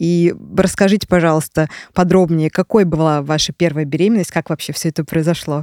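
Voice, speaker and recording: A woman speaks at a moderate pace in a dark, mellow tone. The sound is dry and close, with no echo. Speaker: podcast host. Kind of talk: casual chat. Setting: studio.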